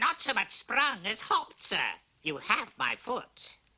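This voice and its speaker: Someone does a put-on character voice at a fairly high pitch and a fairly slow pace. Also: female-sounding voice. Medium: short film. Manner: wry, ingratiating.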